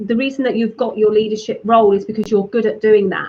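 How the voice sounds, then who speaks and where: A woman with a British accent at a fairly high pitch, fairly quick pace and fairly even intonation. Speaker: digital marketing strategist. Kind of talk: interview.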